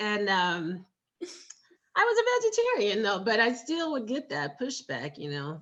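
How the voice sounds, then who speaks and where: In a bright, sharp tone, a woman speaks at a fairly slow pace. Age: 50s. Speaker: food blogger and writer. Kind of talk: interview conversation.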